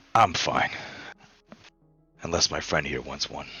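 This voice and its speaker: A man does a raspy, put-on character voice at a very deep, low pitch. He speaks at a moderate pace over faint background music. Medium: actual play. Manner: smooth, condescending.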